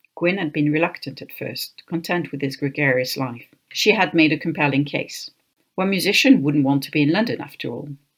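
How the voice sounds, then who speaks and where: A woman speaks with a French accent at a fairly quick pace. Her pitch is very deep and low. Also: ordinary pitch variation. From France, Paris. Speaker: author. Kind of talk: reading aloud.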